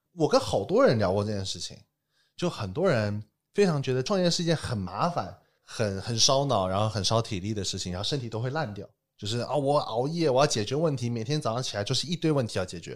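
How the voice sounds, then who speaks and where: Very fast delivery pairs with intonation that moves in a lively way. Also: man, medium pitch for a man, very clean recording, silent background. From Taiwan, then mainland China from age ten. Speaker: entrepreneur. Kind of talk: casual chat. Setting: studio.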